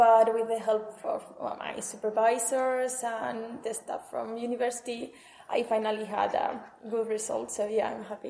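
Against audible room echo, a woman with a Spanish accent speaks at a moderate pace, monotone and flat, with a fairly high pitch. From northern Spain, Huesca. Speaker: master's student. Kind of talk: interview. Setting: conference building.

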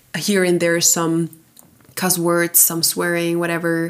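With noticeable background noise behind her, a woman speaks at a moderate pace in a fairly low pitch. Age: 20s. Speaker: podcast host. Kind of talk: casual solo chat.

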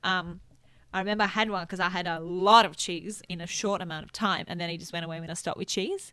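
A woman with an Italian accent, medium pitch, bright, sharp tone and monotone, flat intonation, at a very fast pace with big swings in loudness, in a very clean recording with a silent background. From Italy. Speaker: nutritionist and kinesiologist. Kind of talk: casual chat.

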